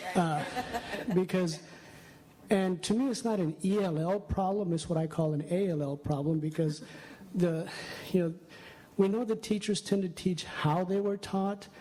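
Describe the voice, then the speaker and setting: The speech comes with a Spanish accent. Long pauses occur frequently. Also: moderate pace. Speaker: audience member, math education specialist. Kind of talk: audience question at a conference session. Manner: halting.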